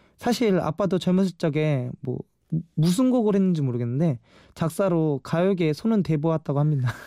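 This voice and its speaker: A man's fairly high-pitched voice with a dark, mellow tone, dry and close with no echo, in a very clean recording with a silent background. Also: lively intonation, moderate pace, very even loudness. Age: 20s. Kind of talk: radio show monologue.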